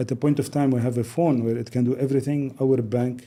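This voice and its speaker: A man with a Lebanese accent and a dark, mellow tone speaks in a monotone, flat intonation at a fairly quick pace. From Lebanon. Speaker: business executive. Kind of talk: podcast interview.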